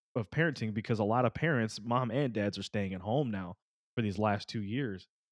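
Against a quiet background, a man talks at a medium pitch with ordinary pitch variation in a plain, everyday voice. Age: 30s. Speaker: podcast co-host. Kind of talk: casual chat.

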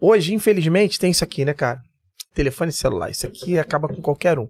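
Music plays behind a man speaking in a high pitch, with a dry, close sound and no echo. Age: 50s. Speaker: security chief and military firefighter. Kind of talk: casual interview chat.

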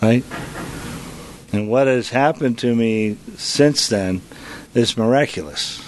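A man talks over noticeable background noise. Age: 50s. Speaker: AA speaker in recovery. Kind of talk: recovery testimony.

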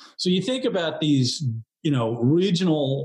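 This man has an unremarkable speaking voice with an American accent, a fairly high pitch, lively intonation and a moderate pace. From New York area. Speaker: graphic designer. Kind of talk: casual chat.

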